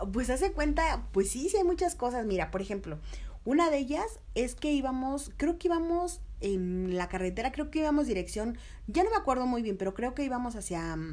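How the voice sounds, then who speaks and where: A woman's high voice in a Mexico City accent, fairly quick, with very wide pitch swings. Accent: Mexico City (chilango). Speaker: TV reporter. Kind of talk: casual interview.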